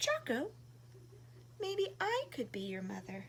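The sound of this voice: Putting on a character voice, a woman speaks slowly in a high pitch with a fairly bright tone and very wide pitch swings.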